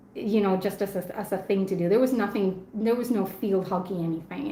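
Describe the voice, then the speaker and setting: In a Spanish accent, a woman with a medium pitch speaks at a very fast pace amid noticeable background noise and audible room echo. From Argentina. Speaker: knife reviewer and live stream host. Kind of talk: casual live stream chat. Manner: chatty, with frequent fillers and repeats.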